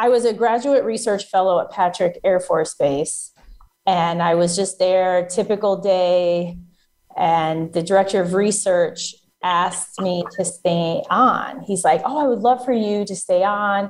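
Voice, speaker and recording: Speaking fairly slowly, a woman uses an ordinary speaking voice at medium pitch with ordinary pitch variation. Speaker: federal contracting coach. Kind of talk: interview explaining business advice.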